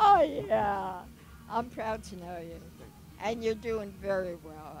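Over faint background music, a woman talks at a very slow pace, her loudness swinging widely in a dry sound with no echo. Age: 80s+. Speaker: motorcycle rider. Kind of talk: interview answer. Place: open country.

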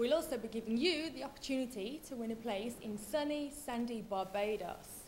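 A woman's fairly high voice with a British accent, at a moderate pace with hardly any pauses and ordinary pitch variation, over light background noise. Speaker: TV presenter. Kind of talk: TV presenter piece to camera, upbeat. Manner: upbeat, bubbly. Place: studio.

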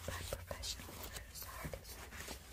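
Whispering, a woman talks at a fairly slow pace. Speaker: ASMR artist. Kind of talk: ASMR product review. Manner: whispered. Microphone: studio mic.

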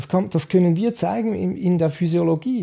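A man with lively intonation at a fairly slow pace, over a quiet background. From Switzerland. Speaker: nutrition scientist; guest. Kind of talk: interview. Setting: nutrition institute office. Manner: halting. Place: studio. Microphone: studio mic.

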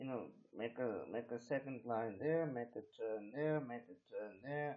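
At a very slow pace, a man speaks with a medium pitch. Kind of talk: unscripted casual screen-recording narration. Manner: hesitant, rambling, frequent fillers.

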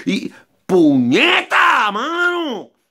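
The background stays quiet while a man speaks. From Puerto Rico. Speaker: amateur songwriter and vlogger; vlogger. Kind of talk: casual vlog monologue. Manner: rambling, repetitive and halting. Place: garage. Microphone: phone near.

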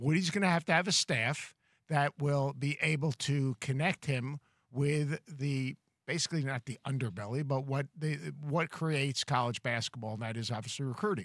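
This is a plain, everyday voice, a man's with a fairly high pitch, at a moderate pace. The sound is dry with no echo, and the background is quiet. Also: ordinary pitch variation. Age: 60s. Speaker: college basketball analyst. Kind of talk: sports talk show discussion. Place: studio. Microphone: studio mic.

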